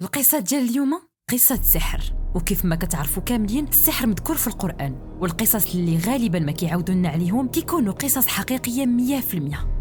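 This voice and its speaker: Music plays behind a fairly quick delivery with hardly any pauses, in a Moroccan accent. The pitch swings very widely while the loudness stays very even. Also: woman, fairly high pitch for a woman. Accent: Moroccan Arabic (Darija). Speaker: storyteller. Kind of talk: horror story narration.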